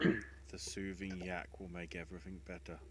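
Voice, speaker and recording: A man's put-on character voice, very deep and low, at a moderate pace over loud background noise. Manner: soothing, calm.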